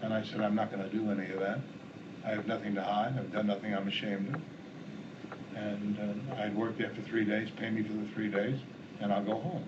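There is noticeable background noise. Over it, a man speaks with a fairly low pitch. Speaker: interviewee. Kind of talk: interview answer. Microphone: old recording.

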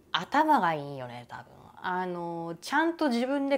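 A woman's fairly low voice at a fairly slow pace, with very wide pitch swings. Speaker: YouTuber. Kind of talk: casual vlog monologue. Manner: animated, frequent laughter.

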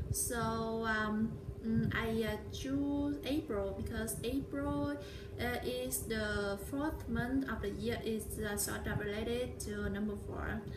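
A woman speaks very slowly with a Vietnamese accent against noticeable background noise. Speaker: vlogger. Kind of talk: vlog monologue. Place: home room. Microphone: phone near.

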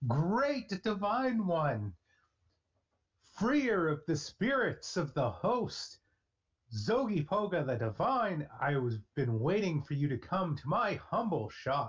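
Putting on a character voice, a man speaks at a high pitch and a fairly slow pace, with very wide pitch swings. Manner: effusive, theatrical.

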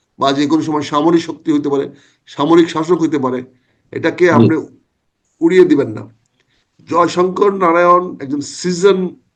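A man's fairly high, fairly evenly intoned voice, a plain, everyday voice. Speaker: retired army officer and former MP, political commentator. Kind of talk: political talk show interview.

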